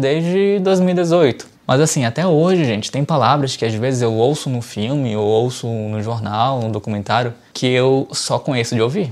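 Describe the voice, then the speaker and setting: With hardly any pauses, a man talks at a moderate pace in an unremarkable speaking voice. His pitch is medium and his intonation lively. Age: 30s. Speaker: English teacher and YouTuber. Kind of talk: tutorial. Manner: casual, conversational.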